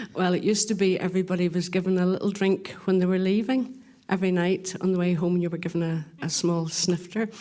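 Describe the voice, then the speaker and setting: In a Northern Irish accent, a woman speaks at a fairly quick pace. Her tone is dark and mellow, with fairly even intonation. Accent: Northern Irish (Ulster). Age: 60s. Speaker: distillery tour guide. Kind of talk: casual chat.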